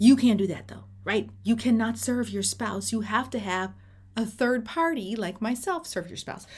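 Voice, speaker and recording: A woman's animated tone with vocal fry, lively intonation and a moderate pace. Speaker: divorce mediator. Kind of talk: informal tutorial. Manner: casual, animated.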